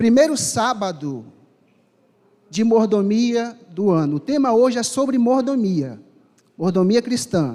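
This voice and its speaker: A man with a high pitch and lively intonation speaks at a very slow pace, leaving long, frequent pauses. Room echo is audible. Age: 30s. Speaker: preacher. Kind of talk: sermon. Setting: church with congregation.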